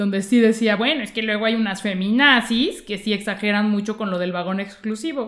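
Speaking fairly quickly with hardly any pauses, a woman with a Mexican accent keeps her fairly high voice at a fairly even intonation. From Mexico. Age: 30s. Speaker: comedian and journalist. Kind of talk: interview conversation.

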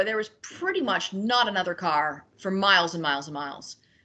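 Her intonation lively, a woman at a medium pitch speaks at a moderate pace in a normal speaking voice. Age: 40s. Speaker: cyclist and traveller. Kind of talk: casual interview chat.

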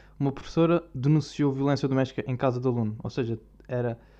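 Against a quiet background, a man with a European Portuguese accent speaks at a moderate pace in a medium pitch with a dark, mellow tone. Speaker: video blogger. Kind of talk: casual monologue. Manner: animated.

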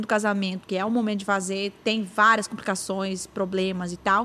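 A woman speaks at a moderate pace. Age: 30s. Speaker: podcast host. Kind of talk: casual chat.

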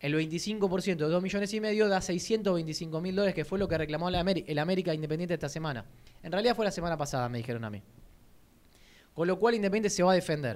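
Very fast and high-pitched, a man talks with ordinary pitch variation. The recording is very clean, the background silent. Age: 30s. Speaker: football radio host. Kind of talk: sports radio talk show. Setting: radio studio.

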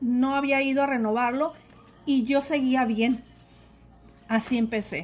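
Delivery comes at a very slow pace. The recording is very clean, with a silent background. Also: woman. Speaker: secondary school arts teacher. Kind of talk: interview testimony. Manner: halting, many fillers and repetitions.

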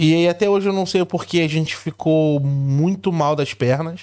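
A man speaks in a Rio de Janeiro accent with ordinary pitch variation. The recording is very clean, with a silent background. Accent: Carioca Brazilian Portuguese. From Rio de Janeiro, Brazil. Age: 40s. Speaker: immigrant content creator. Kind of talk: casual chat.

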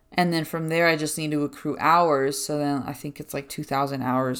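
A woman with a very deep, low pitch speaks with hardly any pauses in a very clean recording with a silent background. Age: 20s. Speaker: podcast host, counseling trainee. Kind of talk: casual solo monologue. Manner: fast, chatty.

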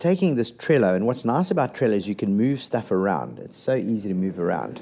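A man's dark, mellow voice at a moderate pace, with very wide swings in pitch. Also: very clean recording, silent background. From South Africa. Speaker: podcast host and radio presenter. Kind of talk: casual solo podcast talk.

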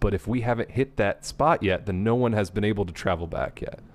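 This man has a plain, everyday voice, talking at a fairly quick pace with ordinary pitch variation. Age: 30s. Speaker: podcast co-host. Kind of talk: casual chat.

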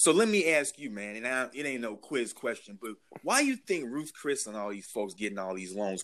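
A man speaks at a fairly quick pace in an American accent, his pitch medium and his intonation lively. He has an unremarkable speaking voice. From Chicago, Illinois. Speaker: political staffer. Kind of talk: casual chat.

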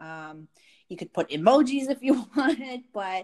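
A woman's voice in a very clean recording against a silent background. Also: dry, close sound with no echo. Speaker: podcast co-host. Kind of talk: casual chat. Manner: talkative.

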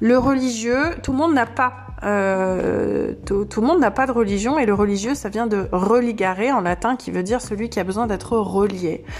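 A woman's medium-pitched voice, with ordinary pitch variation and a moderate pace, comes through noticeable background noise. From southern France, Camargue. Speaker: podcast host and life coach. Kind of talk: unscripted solo podcast monologue. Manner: hesitant, many fillers and repetitions.

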